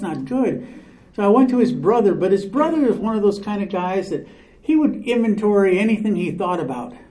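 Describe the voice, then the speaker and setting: Against noticeable background noise and audible room echo, a man speaks at a high pitch. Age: 70s. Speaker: recovery speaker. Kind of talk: recovery testimony talk.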